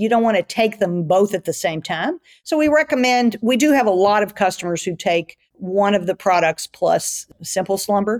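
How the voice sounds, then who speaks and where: Heard dry and close with no echo, a woman with a normal speaking voice talks at a moderate pace and medium pitch, her intonation lively and her loudness very even. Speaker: gut health researcher. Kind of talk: interview conversation.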